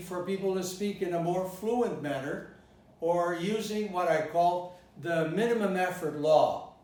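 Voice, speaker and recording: With a General American accent, a man talks at a fairly slow pace in a high pitch with ordinary pitch variation, and audible room echo surrounds him. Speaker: English pronunciation teacher. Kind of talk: lecture. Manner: deliberate, demonstrating pronunciation.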